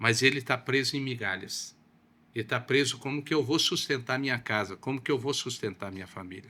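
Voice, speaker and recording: Recorded very cleanly against a silent background, a man talks at a moderate pace in a medium pitch, with a bright, sharp tone and lively intonation. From southern Brazil (Paraná). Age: 60s. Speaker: pastor. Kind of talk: podcast interview.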